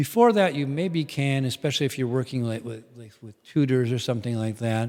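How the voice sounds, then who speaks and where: A man with an American accent, medium pitch and ordinary pitch variation, at a fairly quick pace with hardly any pauses. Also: big swings in loudness. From US Midwest. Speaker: English teacher and performer. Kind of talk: casual podcast conversation.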